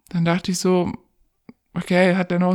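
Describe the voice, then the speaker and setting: A woman speaks in a fairly low-pitched voice. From Germany, Pakistani family background. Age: 20s. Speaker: domestic violence survivor interviewee. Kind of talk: personal testimony in interview.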